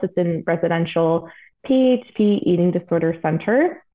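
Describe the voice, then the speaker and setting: At a fairly slow pace, a woman of medium pitch speaks in a plain, everyday voice. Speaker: registered dietitian. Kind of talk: interview conversation.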